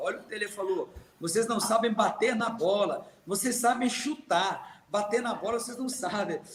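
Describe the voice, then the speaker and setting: A man's high-pitched, fairly even voice at a moderate pace, with noticeable background noise. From Minas Gerais, Brazil. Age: 50s. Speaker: retired footballer. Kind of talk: interview storytelling.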